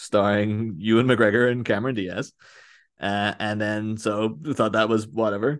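Speaking with a Northern Irish accent, a man uses a fairly low pitch and fairly even intonation. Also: moderate pace, quiet background. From Northern Ireland, near Belfast. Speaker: podcaster. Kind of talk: casual chat.

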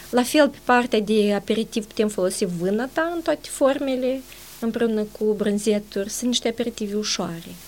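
A woman speaks with an unremarkable speaking voice at a fairly high pitch. Her pace is moderate and her pitch variation ordinary. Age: 40s. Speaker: nutritionist and dietitian. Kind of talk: interview.

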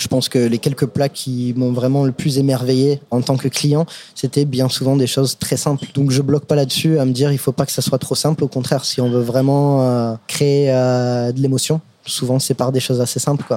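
Dark, mellow tone at a moderate pace, with flat, monotone intonation. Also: man, medium pitch for a man. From US, Brooklyn, New York. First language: English (speaking French). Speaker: chef. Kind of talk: casual chat. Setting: restaurant.

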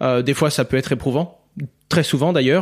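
Talking fairly quickly, a man uses an unremarkable speaking voice at a fairly high pitch with fairly even intonation. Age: 20s. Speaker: crypto educator and entrepreneur. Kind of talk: interview.

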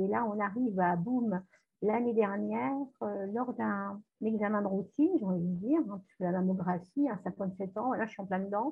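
A woman with an ordinary speaking voice, moderate pace and ordinary pitch variation. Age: 50s. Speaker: nurse and hypnotherapist. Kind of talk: testimony.

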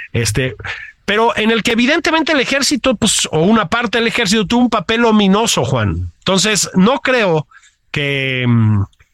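With a Mexican accent and very wide pitch swings, a man talks at a moderate pace in a dry, close sound with no echo. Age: 50s. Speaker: political commentator, podcast co-host. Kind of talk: casual political chat.

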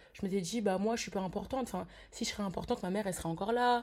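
A woman's medium-pitched voice with a dark, mellow tone, ordinary pitch variation and a very fast pace. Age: 20s. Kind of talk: testimony.

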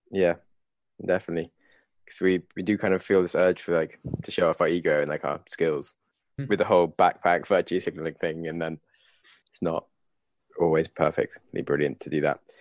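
With a British accent, a man speaks at a very deep, low pitch and a fairly quick pace, yet leaves long, frequent pauses. His intonation is fairly even, and the sound is dry and close with no echo. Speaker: podcast host. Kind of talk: casual podcast book discussion.

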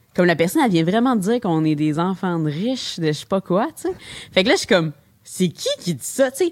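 In a medium pitch and with lively intonation, a woman talks at a fairly quick pace. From Quebec, Longueuil. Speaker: brewery and convenience store co-owner. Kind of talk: interview conversation.

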